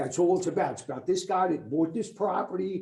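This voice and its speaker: A man with a high pitch amid audible room echo. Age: 60s. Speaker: resident speaking at public comment. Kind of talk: public comment at council meeting. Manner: loud.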